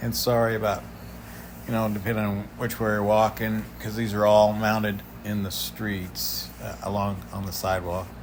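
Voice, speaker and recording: A man talks at a moderate pace in a fairly low pitch with fairly even intonation. Audible room echo surrounds the voice. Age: 60s. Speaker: travel vlogger. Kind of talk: casual vlog narration. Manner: halting, many fillers.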